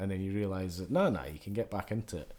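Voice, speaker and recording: A man with a Scottish accent and a dark, mellow tone. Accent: Scottish (Edinburgh area). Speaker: podcast host. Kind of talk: casual chat.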